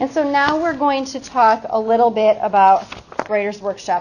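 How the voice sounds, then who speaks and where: A woman speaks with a high pitch. Noticeable background noise runs underneath. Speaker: literacy trainer for teachers. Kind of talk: professional development workshop. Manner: fast.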